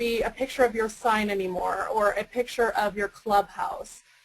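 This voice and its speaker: A woman talks at a fairly high pitch amid noticeable background noise. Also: hardly any pauses. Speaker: webinar presenter. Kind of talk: webinar tutorial. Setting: webinar. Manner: fast.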